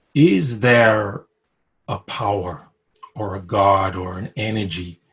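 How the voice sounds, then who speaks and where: Against a quiet background, a man with a New York accent sounds somewhat breathy, with ordinary pitch variation. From Brooklyn, New York. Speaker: interviewee sharing spiritual story. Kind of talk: personal testimony. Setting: video call. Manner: hesitant, many fillers.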